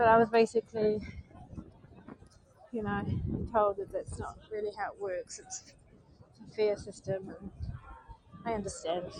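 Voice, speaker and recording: With a New Zealand accent, a woman speaks at a moderate pace and a fairly high pitch, using monotone, flat intonation, long, frequent pauses and big swings in loudness over noticeable background noise. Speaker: vlogger. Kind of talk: live stream chat while walking. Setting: outdoors, walking in the street.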